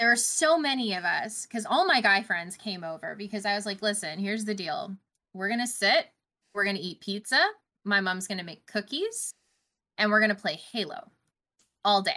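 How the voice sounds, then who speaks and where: In a Canadian accent, a woman with an unremarkable speaking voice talks at a moderate pace and medium pitch, her intonation lively. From Canada. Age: 30s. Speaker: gaming news podcaster. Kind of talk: casual chat.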